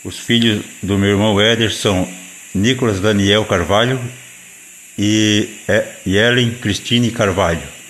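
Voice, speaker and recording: Very slow with long, frequent pauses, a man with a fairly low pitch speaks in a fairly even intonation. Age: 40s. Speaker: speaker recording a personal audio. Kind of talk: reading aloud. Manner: halting.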